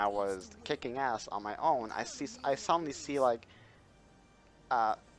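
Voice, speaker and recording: A man with lively intonation at a moderate pace, music playing in the background. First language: not English. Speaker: gaming YouTuber. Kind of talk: casual chat. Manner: hesitant, many fillers.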